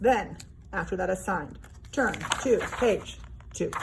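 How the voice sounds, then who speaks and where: The tone is animated, with noticeable background noise. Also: woman. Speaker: art teacher. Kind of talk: tutorial.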